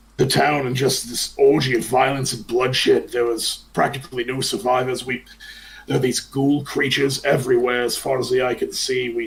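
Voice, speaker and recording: A man does a raspy, put-on character voice at a medium pitch with monotone, flat intonation. He keeps a moderate pace with hardly any pauses. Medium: actual play. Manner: gruff, world-weary.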